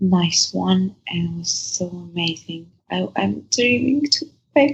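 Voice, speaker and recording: Speaking at a very slow pace with a non-native accent, a woman uses a fairly low pitch with very wide pitch swings. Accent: foreign. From Dagestan, Russia. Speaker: adult film actress. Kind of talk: interview chat.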